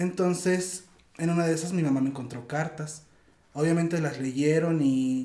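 A fairly high-pitched male voice at a moderate pace, with ordinary pitch variation over noticeable background noise. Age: 20s. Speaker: interview guest. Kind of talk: casual conversation.

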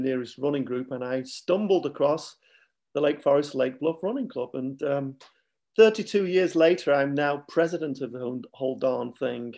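A man's fairly high voice with a dark, mellow tone, ordinary pitch variation and a Mancunian accent. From Manchester, England. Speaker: running club president. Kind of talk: casual interview chat.

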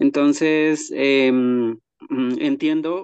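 Speaking at a very slow pace, a man talks with a fairly high pitch. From Colombia. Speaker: weaver and gardener. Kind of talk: casual chat.

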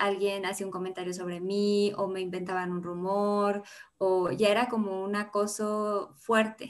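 A woman speaks in a monotone, flat intonation at a moderate pace. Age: 20s. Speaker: feminist social media founder. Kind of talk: podcast interview.

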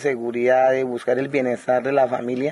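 This is a man speaking. His pitch is fairly high. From Guaviare, Colombian Amazon. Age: 30s. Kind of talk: interview. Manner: halting, frequent repetitions.

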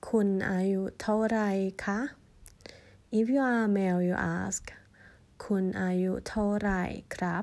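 A Thai accent at a very slow pace, with long, frequent pauses, fairly even intonation, very even loudness and a very clean recording with a silent background. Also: woman, medium pitch for a woman. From Thailand. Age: 40s. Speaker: language teacher. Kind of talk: tutorial.

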